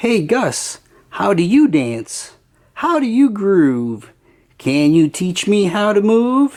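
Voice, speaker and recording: A put-on character voice, female-sounding and middle in pitch, with very wide pitch swings at a very slow pace. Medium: read story.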